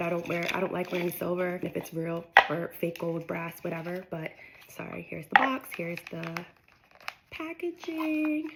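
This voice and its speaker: Against noticeable background noise, a woman talks at a moderate pace with big swings in loudness. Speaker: lifestyle vlogger. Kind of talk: casual unboxing vlog.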